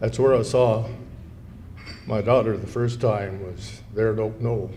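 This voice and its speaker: In a room with audible echo, a man speaks at a fairly slow pace. His fairly low voice stays monotone and flat. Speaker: war veteran. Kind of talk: speech. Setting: luncheon event with audience. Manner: conversational.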